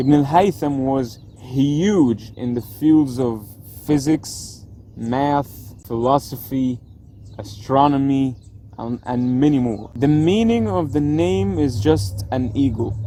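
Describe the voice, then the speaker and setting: Using an Arabic accent, a man speaks at a very slow pace. His medium pitch shows ordinary variation. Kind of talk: casual educational explainer to camera.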